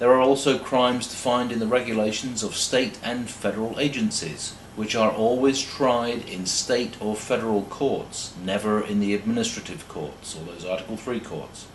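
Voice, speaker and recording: A man with a British accent at a moderate pace, with audible room echo and noticeable background noise. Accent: sounds British, like an Oxford don. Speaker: law lecturer. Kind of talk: lecture. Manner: formal.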